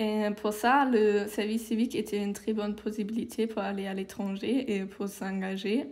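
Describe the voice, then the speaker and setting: A woman with a German accent, at a fairly high pitch, fairly even intonation and hardly any pauses. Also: moderate pace. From Germany. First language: German (speaking French). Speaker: civic service volunteer. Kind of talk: interview.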